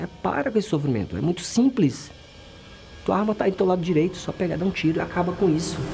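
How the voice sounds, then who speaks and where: Very fast, lively intonation over music in the background. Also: man, high pitch for a man. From Brazil, interior of Bahia. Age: 40s. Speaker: military policeman. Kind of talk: testimony.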